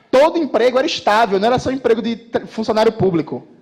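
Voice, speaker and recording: A man with a high voice speaks with lively intonation. His pace is fairly quick. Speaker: political commentator. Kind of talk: political speech to live audience. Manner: fast; animated.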